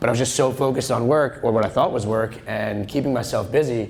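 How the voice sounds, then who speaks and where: Speaking in an American accent, a man goes at a very fast pace with fairly even intonation. Audible room echo surrounds his voice. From Long Island, New York. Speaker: real estate agent, conference speaker. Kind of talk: conference talk. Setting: stage with audience. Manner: loud; casual, joking.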